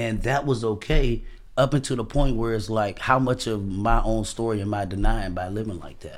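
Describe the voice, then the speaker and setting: A man with an American accent uses an ordinary speaking voice at medium pitch and moderate pace, with big swings in loudness. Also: ordinary pitch variation. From Washington, D.C. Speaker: podcast guest sharing life story. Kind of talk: casual interview, personal testimony.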